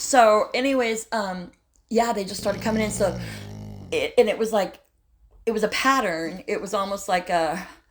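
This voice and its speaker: Animated and fairly high-pitched, a woman with an American accent speaks at a moderate pace with ordinary pitch variation and long, frequent pauses. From Southern California (Huntington Beach). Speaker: eyewitness storyteller. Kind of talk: personal story in an interview.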